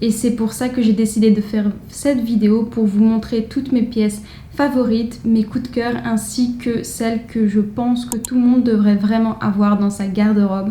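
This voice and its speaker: A woman's fairly high voice in monotone, flat intonation at a moderate pace, with noticeable background noise. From France. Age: 20s. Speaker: fashion vlogger. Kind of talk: casual vlog.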